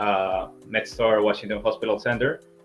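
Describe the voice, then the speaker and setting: Over music in the background, a man with a fairly low pitch speaks at a fairly slow pace. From Peru. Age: 20s. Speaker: physician, incoming internal medicine resident. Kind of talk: interview.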